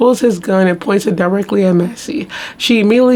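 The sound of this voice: An unforced reading voice, its pitch shifting by an ordinary amount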